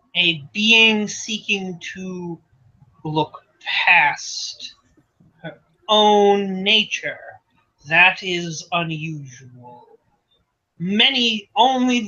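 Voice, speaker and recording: In a put-on character voice with a fairly high pitch, the speaker talks at a very slow pace, leaving long, frequent pauses. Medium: actual play. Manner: archaic, formal, stilted.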